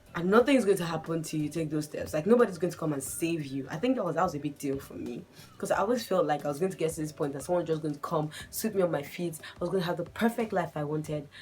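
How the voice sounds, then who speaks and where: Speaking very fast with hardly any pauses, a woman uses a fairly low pitch and ordinary pitch variation. Noticeable background noise runs underneath. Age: 20s. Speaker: lifestyle vlogger. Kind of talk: casual vlog monologue. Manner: conversational, chatty.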